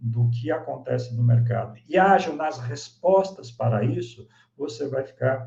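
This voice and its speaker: A somewhat breathy man at a fairly slow pace, with very wide pitch swings. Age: 60s. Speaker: business consultant and speaker. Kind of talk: online masterclass presentation.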